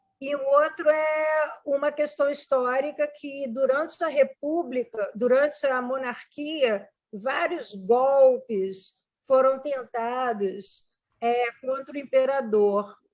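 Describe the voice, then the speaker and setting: A woman speaks at a high pitch and a very slow pace. Her pitch varies in an ordinary way. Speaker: literature professor. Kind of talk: informal lecture with discussion.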